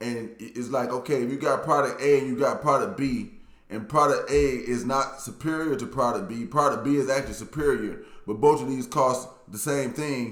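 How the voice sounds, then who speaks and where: A man with an American accent, medium pitch and animated tone, ordinary pitch variation and moderate pace, amid audible room echo. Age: 40s. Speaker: YouTuber, dating commentator. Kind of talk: casual monologue commentary.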